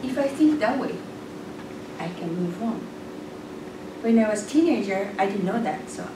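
A woman speaks at a fairly slow pace amid noticeable background noise and audible room echo. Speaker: presenter. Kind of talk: prepared speech telling a parable. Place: meeting room. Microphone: camera far.

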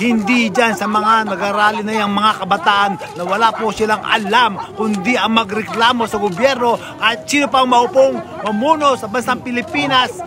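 A man talks in a raised, projected voice at a high pitch and a moderate pace. The sound is dry with no echo, though there is noticeable background noise. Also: ordinary pitch variation. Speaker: political commentary vlogger. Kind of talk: political commentary to camera. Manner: heated, scolding. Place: street.

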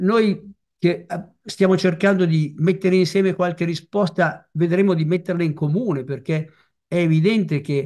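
This man's voice sits high in pitch, his intonation fairly even and his pace moderate, with a quiet background behind him. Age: old. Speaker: retired family doctor; speaker. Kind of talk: talk presentation. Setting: video call. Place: home room. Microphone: video call.

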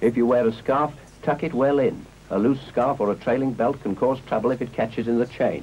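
The speaker has a British accent. The intonation is fairly even. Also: man, medium pitch for a man, fairly quick pace. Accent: 1950s British received pronunciation-style. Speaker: film narrator. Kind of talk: 1950s public information film narration, scripted and formal. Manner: measured, crisp, earnest instructional tone, clipped mid-century delivery.

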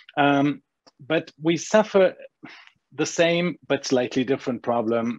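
In a German accent, a man speaks at a fairly slow pace. The sound is dry with no echo, over a quiet background. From Germany. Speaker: agency owner; panelist. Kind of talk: panel discussion. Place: home room. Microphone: earbuds.

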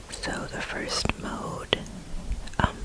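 The speech moves at a very slow pace under loud background noise. The sound is dry, with no echo. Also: woman. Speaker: ASMR creator. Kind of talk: soft-spoken tutorial chat. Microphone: studio mic.

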